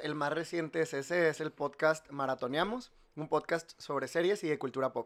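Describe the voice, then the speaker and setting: There is a man with a normal speaking voice, a fairly high pitch and ordinary pitch variation. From Mexico, Monterrey. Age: 30s. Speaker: industrial designer and entrepreneur. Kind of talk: casual chat.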